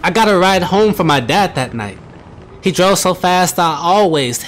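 The pitch varies by an ordinary amount as this person is reading aloud in a natural voice.

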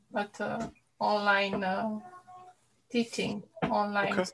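Over light background noise, a woman talks with a Romanian accent. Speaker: teacher. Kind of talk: casual chat. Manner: halting.

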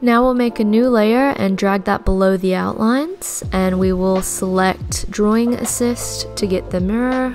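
At a moderate pace, a woman speaks with music in the background. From Australia. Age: 20s. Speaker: digital artist. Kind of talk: drawing tutorial narration.

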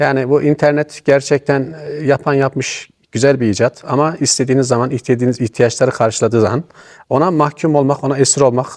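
A normal speaking voice from a man at a medium pitch, with fairly even intonation and very even loudness, recorded with a dry, close sound with no echo. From Niğde, central Anatolia, Turkey. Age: 50s. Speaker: retired amateur theatre actor. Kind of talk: interview.

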